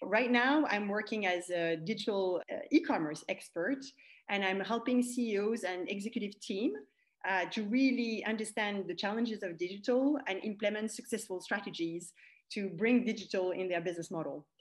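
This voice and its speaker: Here a woman talks at a moderate pace, her pitch medium with ordinary variation. The background is quiet. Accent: French. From France. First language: French. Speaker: e-commerce expert and coach. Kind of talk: interview.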